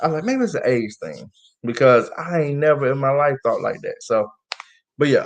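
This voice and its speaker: This man's pitch is fairly high. He talks at a fairly quick pace. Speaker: podcast host. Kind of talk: casual chat. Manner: animated.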